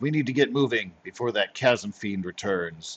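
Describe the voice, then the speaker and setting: A man does a gruff put-on character voice at medium pitch with lively intonation. He talks at a moderate pace in a dry, close sound with no echo. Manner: muttering.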